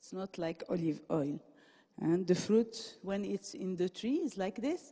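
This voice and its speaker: A woman with a non-native accent talks with very wide pitch swings. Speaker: professor giving a conference talk. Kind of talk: lecture. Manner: halting, many fillers and restarts.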